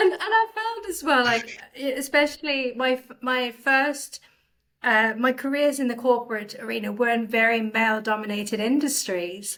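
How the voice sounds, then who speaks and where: This woman's voice sits high in pitch with ordinary variation. She keeps a moderate pace. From South Africa. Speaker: business leader. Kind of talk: podcast interview.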